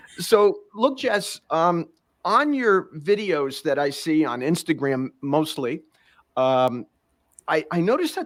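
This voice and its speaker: Recorded very cleanly against a silent background, a man with a New York accent speaks at a high pitch with lively intonation. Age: 60s. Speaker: podcast host. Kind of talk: casual interview.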